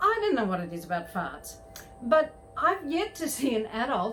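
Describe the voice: A woman speaks in an Australian accent at a high pitch with very wide pitch swings. Music plays in the background.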